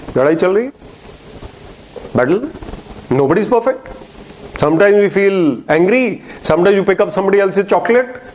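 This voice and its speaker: A man speaks in a high, animated voice with lively intonation and very even loudness over noticeable background noise. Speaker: motivational speaker. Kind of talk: inspirational talk. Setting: lecture hall with audience.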